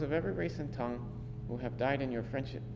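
A man speaks at a medium pitch. There is noticeable background noise. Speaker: priest reading scripture, responding at Mass. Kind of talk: scripture reading and liturgical responses. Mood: solemn, measured. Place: church.

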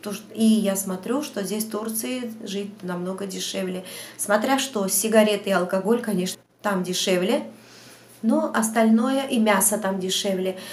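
The pitch moves in an ordinary way. The pace is fairly slow. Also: woman. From Georgia, Batumi; Georgia. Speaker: vlogger. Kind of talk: Q&A vlog monologue. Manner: hesitant, many fillers. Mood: chatty, storytelling. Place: home room. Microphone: lapel.

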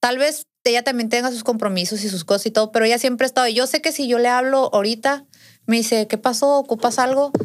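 Against a quiet background, a woman speaks in a high pitch with ordinary pitch variation. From Sinaloa, Mexico (Navolato); Sinaloa, Mexico. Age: 20s. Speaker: podcast guest. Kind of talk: casual interview, personal story. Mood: earnest, recounting painful family story. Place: studio. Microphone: studio mic.

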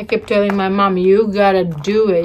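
Over light background noise, a woman talks at a moderate pace with fairly even intonation. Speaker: mukbang vlogger. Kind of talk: casual vlog chat. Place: home room. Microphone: phone near.

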